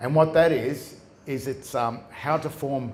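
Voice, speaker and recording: In an Australian accent, a man talks with a medium pitch, ordinary pitch variation and a somewhat breathy quality, with audible room echo around him. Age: 60s. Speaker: common law researcher, presenter. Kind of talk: live presentation to an audience. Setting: stage with audience. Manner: halting, many restarts.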